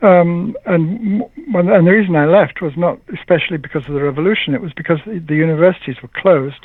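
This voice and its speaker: A man talks at a very fast pace, his pitch high and its variation ordinary. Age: 70s. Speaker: poet and translator, scholar. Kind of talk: interview. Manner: halting.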